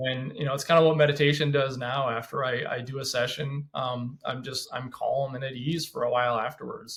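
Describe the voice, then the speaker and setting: A man with an American accent and a medium pitch talks at a fairly quick pace, hardly pausing at all. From Washington State, US. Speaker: former police officer. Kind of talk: podcast interview. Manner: fast; animated.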